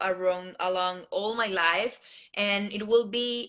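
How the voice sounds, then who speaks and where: In a Colombian accent, a woman speaks at a very slow pace with fairly even intonation. Her pitch is medium and her tone is bright and sharp. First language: Spanish. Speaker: beauty pageant contestant. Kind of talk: interview. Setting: live video stream. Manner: halting.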